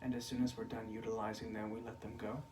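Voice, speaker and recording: A man speaks in a relaxed tone, with noticeable background noise and audible room echo. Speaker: spiritual teacher. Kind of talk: spiritual talk. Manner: natural pitch, not raised in volume; slow, relaxed.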